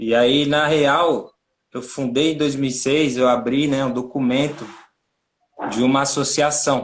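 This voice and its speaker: Speaking at a fairly slow pace, a man with a fairly high pitch keeps a monotone, flat intonation broken by long, frequent pauses. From Brazil, São Paulo (Capão Redondo). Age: 30s. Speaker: NGO co-founder and director. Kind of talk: interview on a livestream. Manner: casual, slangy.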